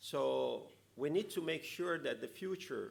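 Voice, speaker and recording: At a fairly slow pace, a man speaks with an Italian accent. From Italy. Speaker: conference speaker, EU policy official. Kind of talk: conference talk. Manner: halting, many fillers.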